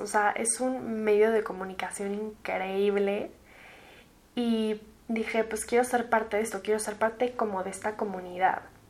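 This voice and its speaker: In a Mexican accent, a woman with a fairly high pitch speaks at a fairly slow pace with fairly even intonation. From Mexico City. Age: 20s. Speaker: podcast host. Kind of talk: casual monologue.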